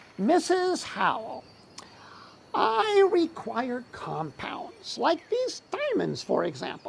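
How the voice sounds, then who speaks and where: This put-on character voice has a high pitch. It moves at a very slow pace. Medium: stage play. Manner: grandiose, theatrical.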